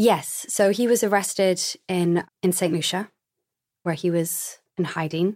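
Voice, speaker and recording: A woman speaks in an ordinary speaking voice at medium pitch, with fairly even intonation and a fairly slow pace. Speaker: memoir author. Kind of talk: interview.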